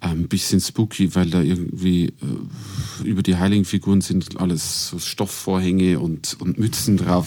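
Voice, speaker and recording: A man speaks with a very deep, low pitch and a dark, mellow tone. His pace is moderate. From Regensburg, Bavaria. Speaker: classical singer. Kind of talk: casual chat. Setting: studio.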